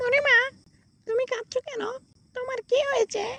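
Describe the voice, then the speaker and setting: It is a cartoonish character voice pitched extremely high. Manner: earnest, eager.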